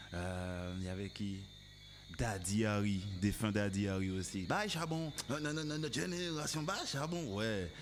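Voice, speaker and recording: Speaking at a very slow pace, a man with a fairly low pitch makes very wide pitch swings. Audible room echo surrounds his voice. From Martinique. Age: 30s. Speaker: musician. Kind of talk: casual interview chat. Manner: hesitant, many fillers.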